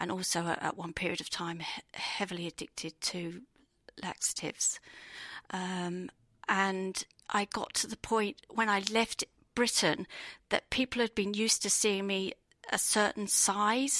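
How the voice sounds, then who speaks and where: On a very clean recording with a silent background and a dry, close sound free of echo, a woman with an English accent speaks at a fairly slow pace in a medium pitch, her tone bright and sharp and her intonation fairly even. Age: 50s. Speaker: marathon runner, navy veteran. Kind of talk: personal testimony. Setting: expo studio.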